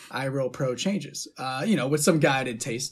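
In an American accent, a man with a fairly high pitch and a somewhat breathy voice talks at a moderate pace. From Youngstown, Ohio, US. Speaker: musician and producer. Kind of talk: casual interview chat. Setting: recording studio.

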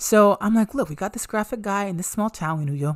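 The voice moves at a fairly quick pace in an animated tone, captured in a very clean recording with a silent background. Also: woman. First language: Ibibio. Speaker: podcast host. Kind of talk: casual monologue.

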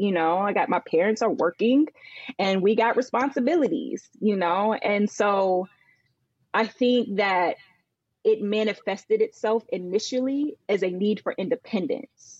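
A woman with an American accent and an unremarkable speaking voice talks at a fairly slow pace in a fairly high pitch, her loudness very even and the sound dry and close with no echo. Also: ordinary pitch variation. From Northern Virginia, US. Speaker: business consultant and former accountant. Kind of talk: casual chat.

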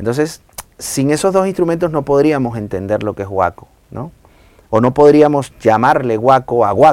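At a moderate pace, a man talks in a normal speaking voice, medium in pitch, with lively intonation. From Venezuela, Maracay. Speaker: salsa singer. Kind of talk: casual chat.

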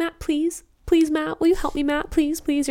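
In a put-on character voice, a woman speaks at an extremely high pitch and a moderate pace. She sounds whiny, with monotone, flat intonation. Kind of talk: casual, exaggerated. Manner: whiny, pleading, repetitive.

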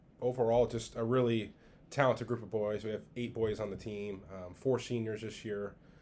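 A man speaks at a moderate pace in a medium pitch. His intonation is monotone and flat, with big swings in loudness. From Southern California. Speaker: high school golf coach. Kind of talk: casual chat.

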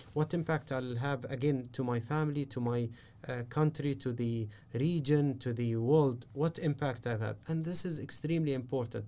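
A man's medium-pitched voice with an Arabic accent, dark and mellow in tone, fairly even in intonation, at a moderate pace. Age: 30s. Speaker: business strategist and mentor. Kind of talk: interview. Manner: halting.

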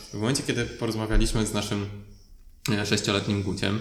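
There is audible room echo around a man's voice. He talks in a fairly low pitch with monotone, flat intonation. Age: 30s. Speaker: podcast host. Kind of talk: casual interview.

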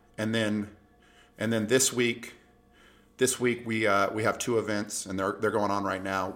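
A man talks in an ordinary speaking voice, fairly low in pitch, with fairly even intonation. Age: 50s. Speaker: golf podcast host. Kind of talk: casual solo commentary. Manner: conversational, with filler words.

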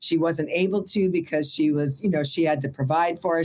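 This woman has a plain, everyday voice with a fairly low pitch. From Burbank, California. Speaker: entertainment industry worker and former actress. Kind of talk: casual interview.

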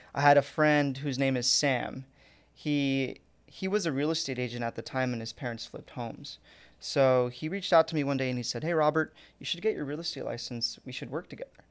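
This man's voice sits fairly high, with ordinary pitch variation. He talks at a fairly quick pace in a very clean recording with a silent background. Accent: American. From Orange County, California. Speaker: title company sales representative. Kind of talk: podcast interview.

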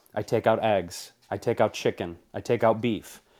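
This very clean recording with a silent background captures a man speaking in an American accent. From US Midwest, Detroit. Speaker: TV host and cookbook author. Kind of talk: interview. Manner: animated.

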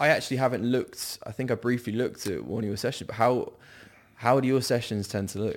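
A man with an English accent at a very fast pace, medium in pitch, with fairly even intonation. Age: 20s. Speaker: online fitness coach. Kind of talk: casual chat. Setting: studio. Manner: hesitant, many ums.

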